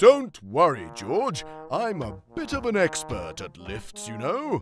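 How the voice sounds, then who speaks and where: This is a cartoonish character voice with a cheerful tone. It sits at a middle pitch and moves at a fairly slow pace. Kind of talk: preschool cartoon. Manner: cheerful, bumbling.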